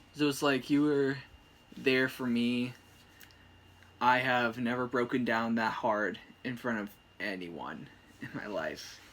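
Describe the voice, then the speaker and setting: The speaker goes at a fairly slow pace with ordinary pitch variation and long, frequent pauses. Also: man, medium pitch for a man. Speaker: boyfriend of the channel owner. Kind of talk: casual chat. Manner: soft-spoken.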